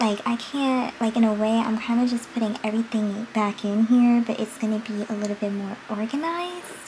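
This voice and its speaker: The speaker is soft-spoken and talks at a fairly quick pace with hardly any pauses. Pitch varies in an ordinary way, and there is noticeable background noise. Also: woman, fairly high pitch for a woman. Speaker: beauty vlogger. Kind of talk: casual makeup vlog chat. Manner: projecting voice, volume goes in and out.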